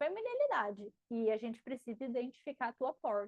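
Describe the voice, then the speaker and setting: Music plays in the background while the voice moves at a moderate pace, the sound dry and close with no echo. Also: woman. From Paraná, Brazil (countryside). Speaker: marketing teacher and mentor. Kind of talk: live class Q&A. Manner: animated.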